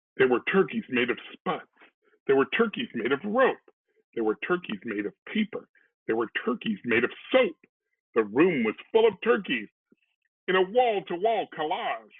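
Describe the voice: At a moderate pace, a man speaks at a fairly high pitch with big pitch swings and a slightly husky edge.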